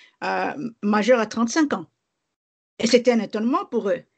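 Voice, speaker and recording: A woman talks at a moderate pace in a plain, everyday voice, her pitch fairly high with ordinary variation. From DR Congo (Kinshasa and Bas-Congo). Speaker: lawyer and activist. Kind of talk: interview.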